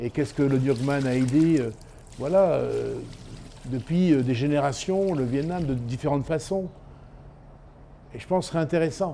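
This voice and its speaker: Moderately paced speech from a man, fairly high-pitched, ordinary in pitch variation, broken by long, frequent pauses. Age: 60s. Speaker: chef and fish sauce enthusiast. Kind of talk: documentary interview. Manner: halting.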